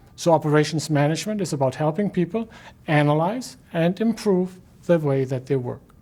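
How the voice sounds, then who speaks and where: A man with a German accent speaks at a high pitch with lively intonation. The recording is very clean, with a silent background. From Germany. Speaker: professor. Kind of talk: lecture. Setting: recorded video lecture.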